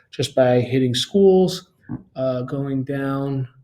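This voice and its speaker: A man's voice with a dark, mellow tone. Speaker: school staff member. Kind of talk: tutorial. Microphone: webcam.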